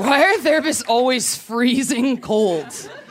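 A woman speaks at a moderate pace while noticeable background noise runs underneath. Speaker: comedian. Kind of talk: stand-up. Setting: stage with audience. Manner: animated.

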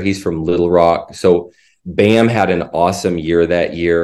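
A man with an American accent speaks at a very deep, low pitch and a fairly slow pace with fairly even intonation. The recording is very clean with a silent background. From Indiana. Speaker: college basketball assistant coach. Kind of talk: casual interview.

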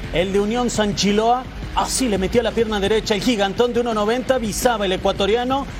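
A man's high-pitched, energetic, excited voice with ordinary pitch variation, over noticeable background noise. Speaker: sports radio co-host. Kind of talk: sports commentary, rapid goal recaps. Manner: brisk, energetic, excited.

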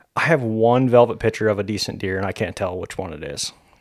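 This man has a plain, everyday voice with fairly low pitch. He talks at a fairly quick pace with ordinary pitch variation. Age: 30s. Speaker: hunter. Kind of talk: casual chat.

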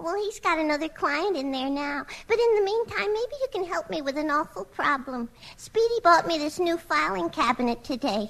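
Putting on a character voice, a woman speaks high with very wide pitch swings at a moderate pace. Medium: old radio play. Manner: dithering, naive.

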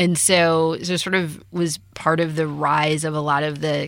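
An American accent comes through as a woman speaks in a monotone, flat way at a very deep, low pitch. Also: very clean recording, silent background. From US Midwest. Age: 30s. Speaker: startup founder. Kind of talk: interview.

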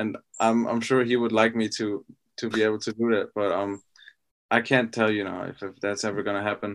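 A man with a German accent speaks fairly quickly in a fairly low pitch, his intonation monotone and flat. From Austria. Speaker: professional football player. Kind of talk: interview. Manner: halting.

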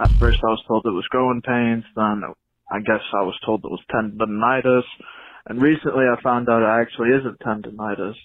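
Fairly quick and fairly even in intonation, a man with an American accent has a normal speaking voice at a medium pitch. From Michigan. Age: young. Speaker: listener. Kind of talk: voice message.

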